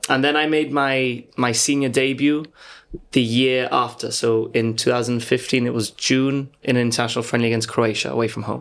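A man talks at a moderate pace and medium pitch in a flat, monotone intonation. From Gibraltar. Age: 30s. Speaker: footballer and coach. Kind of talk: casual chat.

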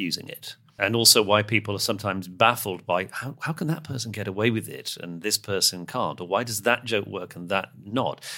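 On a very clean recording with a silent background, a man with a British accent speaks in a bright, sharp tone. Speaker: podcast host and communications coach. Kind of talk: casual conversation. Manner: hesitant, with many restarts.

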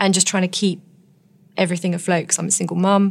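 In an English accent, a woman speaks at a medium pitch with monotone, flat intonation. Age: 40s. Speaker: nurse and author. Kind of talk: interview.

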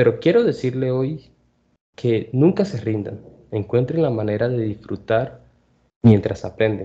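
Over a quiet background, a man with a medium pitch and a dark, mellow, somewhat breathy tone speaks at a fairly slow pace with lively intonation and long, frequent pauses. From Colombia. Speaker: Spanish tutor and podcast host. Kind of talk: language lesson podcast.

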